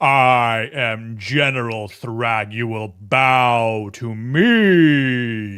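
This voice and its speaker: Using a put-on character voice, a man at a medium pitch speaks at a very slow pace with hardly any pauses. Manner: commanding.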